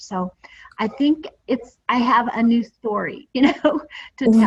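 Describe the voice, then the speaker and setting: Lively intonation and vocal fry in a woman's voice. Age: 60s. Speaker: direct sales distributor. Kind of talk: testimony. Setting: group call, audio only.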